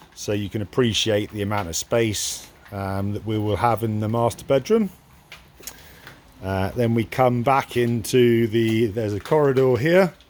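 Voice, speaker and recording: This man talks at a moderate pace with medium pitch and ordinary pitch variation. Noticeable background noise sits behind him. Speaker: farmer and self-builder. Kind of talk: walkthrough tour video. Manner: loud; hesitant, many ums.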